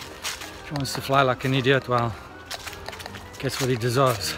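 Clear music plays in the background while a man talks. His pace is moderate and the sound is dry with no echo. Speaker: travel vlogger. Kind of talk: casual vlog chat. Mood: calm, slightly annoyed. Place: forest. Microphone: phone near.

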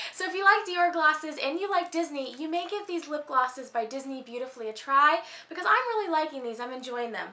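A woman with an American accent speaks in a raised, projected, high voice with an upbeat tone, a very fast pace and very wide pitch swings. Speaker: beauty and lifestyle vlogger. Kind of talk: casual talk to camera. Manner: upbeat, chatty. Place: home room.

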